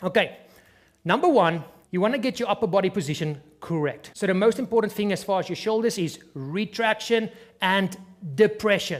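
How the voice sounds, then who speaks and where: The speaker has a non-native accent and moves at a fairly quick pace. Pitch variation is ordinary. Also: man, high pitch for a man. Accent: noticeable non-native accent, self-described. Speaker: fitness trainer. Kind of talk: tutorial. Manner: instructive, conversational.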